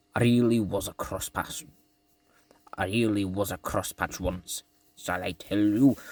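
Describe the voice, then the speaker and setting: A man puts on a character voice at a fairly low pitch. He keeps a moderate pace with long, frequent pauses. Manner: confiding, storytelling.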